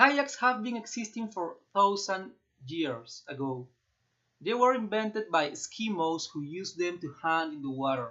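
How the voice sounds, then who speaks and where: A man with a Peruvian accent, high in pitch, with very wide pitch swings at a moderate pace. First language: Spanish. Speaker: student vlogger. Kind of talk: class assignment presentation. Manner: halting, with fillers.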